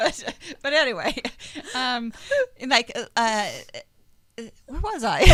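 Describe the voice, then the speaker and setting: A woman's high, lively, raised and projected voice at a very slow pace, with long, frequent pauses. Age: 50s. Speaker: online radio talk show host. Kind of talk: casual chat. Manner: loud; animated.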